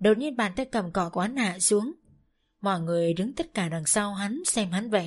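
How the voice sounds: Against a quiet background, this is a natural reading voice.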